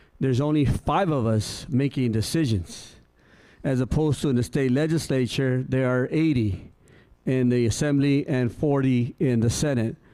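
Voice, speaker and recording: The voice has a dark, mellow tone, very even loudness and ordinary pitch variation at a fairly slow pace. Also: man, medium pitch for a man. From Coachella, California (US). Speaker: county supervisor. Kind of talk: public speech. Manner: halting.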